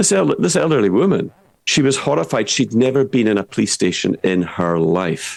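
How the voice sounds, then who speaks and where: Speaking with a Scottish accent, a man with a fairly low voice moves at a moderate pace, his pitch swinging very widely while his loudness stays very even. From Scottish Highlands. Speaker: political commentator. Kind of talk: online show discussion. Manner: animated; halting, repeats words.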